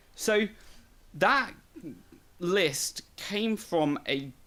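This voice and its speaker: A British accent amid noticeable background noise. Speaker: podcast host. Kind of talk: casual chat.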